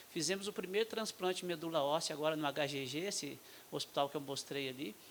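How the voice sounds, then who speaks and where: Talking at a very fast pace, a man with a Minas Gerais accent uses ordinary pitch variation. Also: fairly high pitch for a man. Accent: mineiro accent, noticeable. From Brazil, Minas Gerais. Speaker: state health official, physician. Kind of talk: panel talk at medical forum. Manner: halting, many fillers.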